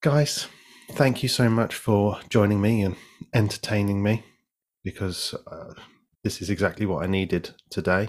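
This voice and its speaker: A man with a British accent and a fairly low voice, at a moderate pace with long, frequent pauses. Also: ordinary pitch variation. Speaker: game show style podcast host. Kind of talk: casual chat. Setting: video call.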